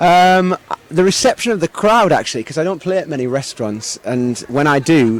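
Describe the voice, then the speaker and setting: His pitch fairly high, a man talks at a moderate pace with very wide pitch swings. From northeast England, Sunderland. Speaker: singer-songwriter. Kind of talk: interview. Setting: live music venue. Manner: hesitant, many repetitions and fillers.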